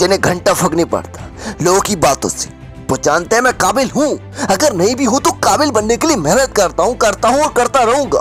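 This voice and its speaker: Over music in the background, a man talks in a high pitch with lively intonation. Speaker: motivational speaker. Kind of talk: motivational speech. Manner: energetic, intense.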